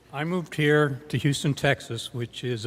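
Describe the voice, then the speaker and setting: A somewhat breathy voice at a fairly quick pace, with ordinary pitch variation. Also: man. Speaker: storyteller. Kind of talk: live storytelling performance. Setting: live stage.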